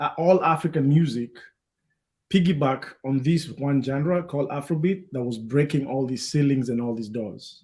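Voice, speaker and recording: A man talks in a fairly high voice. His delivery is somewhat breathy. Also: ordinary pitch variation, moderate pace. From Kenya. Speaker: DJ and talk show host. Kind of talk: panel discussion. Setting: live stream.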